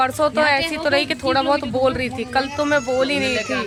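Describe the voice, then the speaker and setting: Female speech at a moderate speed, clearly audible noise in the background. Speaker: vlogger. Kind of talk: casual vlog talk.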